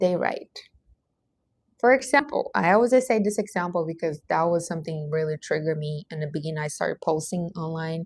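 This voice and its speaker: A somewhat breathy woman talks at a fairly quick pace with lively intonation. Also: fairly low pitch for a woman. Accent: Portuguese. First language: Portuguese. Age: 30s. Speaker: life coach. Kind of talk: livestream monologue. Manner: animated.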